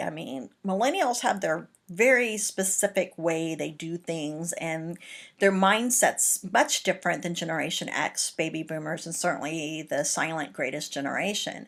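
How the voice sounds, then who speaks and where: Over a very clean recording with a silent background, a woman at medium pitch talks at a moderate pace in an American accent with a plain, everyday voice. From Texas, Houston. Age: 50s. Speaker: college lecturer. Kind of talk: lecture. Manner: casual conversational.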